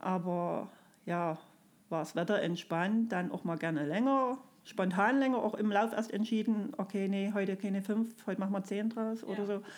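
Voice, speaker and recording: A woman at a moderate pace, with a normal speaking voice, a medium pitch, and ordinary pitch variation. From Saxony, Erzgebirge (Freiberg area). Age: 40s. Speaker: kindergarten teacher, amateur runner. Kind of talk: casual interview. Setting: hotel room.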